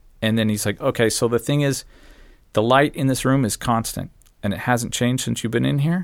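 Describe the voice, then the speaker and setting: A man with a General American accent talks at a fairly quick pace in an unremarkable speaking voice, medium in pitch with ordinary pitch variation. The recording is very clean with a silent background. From Arizona, US. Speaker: traveler. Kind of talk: casual chat.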